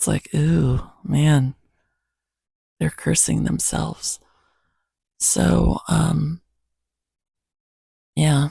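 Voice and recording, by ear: A woman's very slow, low-pitched voice, dark and mellow in tone, with a husky, rough edge, vocal fry and long, frequent pauses. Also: fairly even intonation, dry, close sound with no echo.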